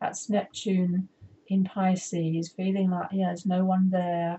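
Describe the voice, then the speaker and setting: A woman's voice sits at medium pitch and is somewhat breathy. She speaks at a fairly slow pace. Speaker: astrologer and soul coach. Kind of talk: astrology forecast tutorial with chart. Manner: deliberately slowed pace; halting, self-correcting.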